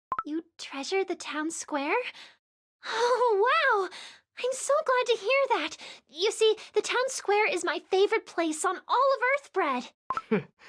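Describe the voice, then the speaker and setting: Here is a put-on character voice, squeaky and extremely high in pitch. It moves at a fairly slow pace. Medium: video game. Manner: polite, eager.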